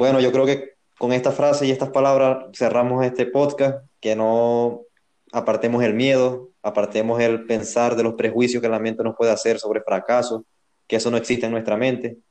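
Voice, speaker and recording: A man's dark, mellow voice at a medium pitch and moderate pace, with monotone, flat intonation and very even loudness. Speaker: podcast co-host. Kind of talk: casual interview.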